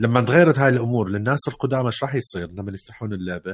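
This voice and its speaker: Here a man has a normal speaking voice, medium in pitch, with lively intonation at a fairly quick pace. The recording is very clean, the background silent. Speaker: podcast co-host. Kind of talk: casual chat.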